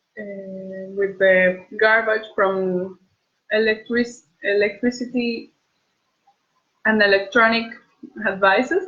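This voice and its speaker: Speaking at a very slow pace with a Bolivian accent, a woman at medium pitch leaves long, frequent pauses and makes big swings in loudness. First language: Spanish. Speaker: beauty pageant contestant. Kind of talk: casual livestream chat answering viewer questions. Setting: at home, live video stream. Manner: halting, with repeated words.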